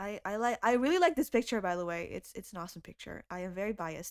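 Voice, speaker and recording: In an Indonesian accent, a woman speaks with an animated tone and very wide pitch swings. The recording is very clean, with a silent background. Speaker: YouTube music cover creator. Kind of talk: casual chat.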